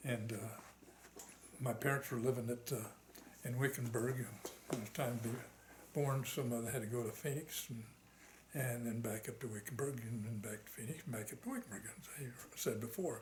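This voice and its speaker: Amid noticeable background noise and audible room echo, a man with an American accent speaks at a moderate pace in a medium pitch, with fairly even intonation and long, frequent pauses. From Arizona, US Southwest. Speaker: war veteran. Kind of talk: oral history interview. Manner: halting, many fillers.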